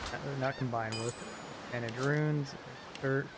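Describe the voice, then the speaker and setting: A man with an American accent over noticeable background noise. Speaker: video game streamer. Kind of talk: live game stream commentary. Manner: casual, hesitant with fillers.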